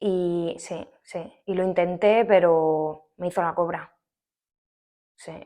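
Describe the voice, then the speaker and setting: This woman's voice sits at a medium pitch. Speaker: Spanish teacher. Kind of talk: acted casual dialogue with a friend. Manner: chatty, colloquial.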